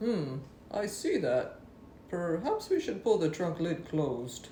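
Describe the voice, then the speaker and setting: A put-on character voice at a middle pitch moves at a fairly slow pace over clear background noise. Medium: read story. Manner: cautious, worried.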